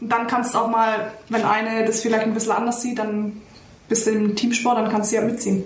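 In a Bavarian accent, a fairly quick voice keeps very even loudness and flat, monotone intonation, with audible room echo around it. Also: woman, fairly high pitch for a woman. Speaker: former professional footballer. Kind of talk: casual chat. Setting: video call.

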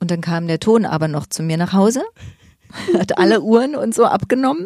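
Her pace is moderate. The woman's intonation is lively. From Berlin (Weißensee), eastern Germany. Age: 50s. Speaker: stage actor and drama teacher. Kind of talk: casual interview chat.

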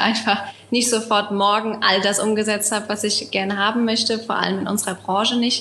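A woman speaks at a fairly high pitch and a moderate pace with monotone, flat intonation. Audible room echo and noticeable background noise surround her voice. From Germany, Rheinhessen. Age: 20s. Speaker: winemaker. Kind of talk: casual interview. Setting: video call from home.

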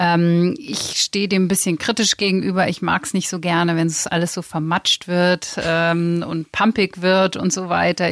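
In a normal speaking voice, a woman talks at a fairly low pitch and fairly slow pace with fairly even intonation, the sound dry and close with no echo. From Lower Saxony, near East Frisia. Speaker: magazine editor-in-chief. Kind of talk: interview conversation. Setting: studio.

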